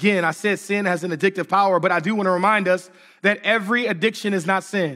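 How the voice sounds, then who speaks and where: Here a man talks at a very fast pace in a raised, projected voice with a high pitch. His tone is bright and sharp on a very clean recording with a silent background. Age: 40s. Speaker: pastor. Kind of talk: sermon. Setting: church with congregation.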